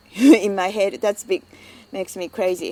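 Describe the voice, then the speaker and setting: A woman speaks with a Japanese accent at a moderate pace. Her tone is dark and mellow. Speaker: migrant interviewee. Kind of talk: personal testimony. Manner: halting.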